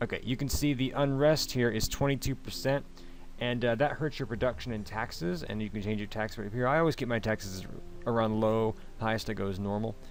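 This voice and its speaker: At a fairly quick pace, a man talks in a normal speaking voice with medium pitch and ordinary pitch variation. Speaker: let's play gamer. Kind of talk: game commentary.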